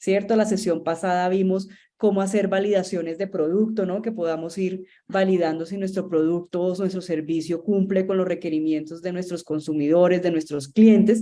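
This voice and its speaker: With a Colombian accent, a woman talks at a medium pitch in a dark, mellow tone and fairly even intonation. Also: moderate pace. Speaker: marketing agency founder, instructor. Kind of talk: online masterclass lecture. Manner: conversational, many fillers and repetitions.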